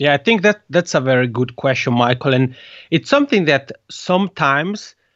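A man in an Italian accent with ordinary pitch variation. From Italian-speaking Switzerland. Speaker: podcast consultant. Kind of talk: interview.

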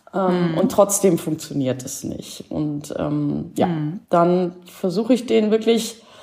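Against noticeable background noise, a woman with a fairly low pitch speaks very slowly, hardly pausing at all. Her intonation is lively, and her loudness swings widely. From Schleswig-Holstein, northern Germany. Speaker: horse behaviour therapist. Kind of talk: casual interview. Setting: online call. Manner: hesitant, many fillers.

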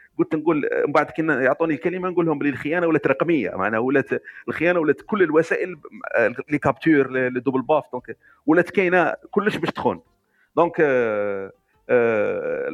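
In an ordinary speaking voice, a man talks at a moderate pace and fairly high pitch with lively intonation, the sound dry and close with no echo. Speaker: listener. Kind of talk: casual chat.

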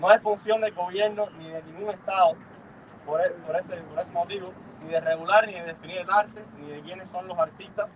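A high-pitched man at a fairly quick pace, with big swings in loudness, fairly even intonation and noticeable background noise. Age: young. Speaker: student activist. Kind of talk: reading aloud a declaration. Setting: outdoor rally.

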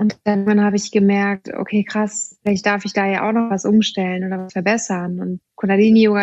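Recorded dry and close with no echo, a woman speaks at a medium pitch and a moderate pace in a monotone, flat intonation. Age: 30s. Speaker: yoga teacher. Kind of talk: casual chat.

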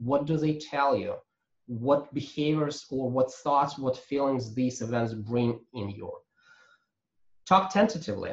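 A man with a fairly high pitch and a somewhat breathy voice talks at a moderate pace with lively intonation. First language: not English. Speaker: agile coach and trainer. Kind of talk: webinar presentation. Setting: video call. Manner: halting, many fillers.

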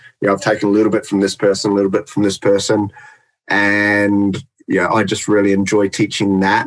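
The speaker talks at a moderate pace with a New Zealand accent. The recording is very clean, with a silent background. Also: man. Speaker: dog trainer. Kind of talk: casual chat.

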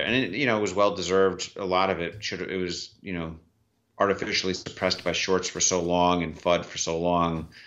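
A man's very deep, low-pitched voice at a fairly quick pace. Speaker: investor. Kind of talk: casual chat.

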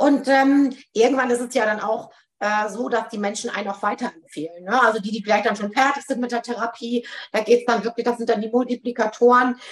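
Talking at a fairly quick pace, a woman uses a fairly high pitch and fairly even intonation. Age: 40s. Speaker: psychotherapy practitioner. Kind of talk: interview. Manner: frequent filler hesitations.

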